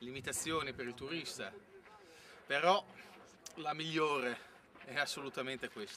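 A man talks at a moderate speed, his pitch varying in an ordinary way, with light noise in the background. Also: big swings in loudness. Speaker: presenter. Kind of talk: casual travel vlog talk. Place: open country. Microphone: camera far.

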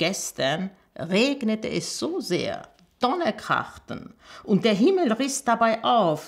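Against a quiet background, a woman speaks at a very slow pace with very wide pitch swings. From Armenia. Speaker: storyteller, journalist and teacher reading a fairy tale. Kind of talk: reading aloud a fairy tale. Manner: expressive storytelling, measured pace. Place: home room.

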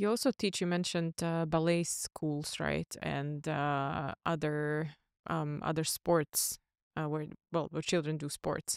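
A woman with a very deep, low pitch, fairly even intonation and a fairly slow pace, in a dry sound with no echo and a quiet background. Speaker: podcast co-host; podcast host. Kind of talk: interview. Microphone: studio mic.

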